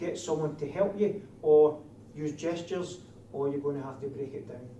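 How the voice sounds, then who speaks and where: A man's fairly high voice at a moderate pace, with big swings in loudness, audible room echo, and noticeable background noise. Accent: strong Scottish. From Scotland. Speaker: security training instructor. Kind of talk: lecture.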